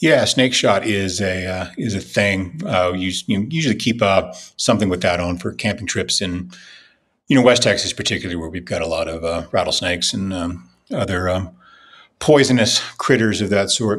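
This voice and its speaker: Talking at a moderate pace, a man with an ordinary speaking voice uses a fairly low pitch and lively intonation. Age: 50s. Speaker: political writer. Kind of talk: casual chat.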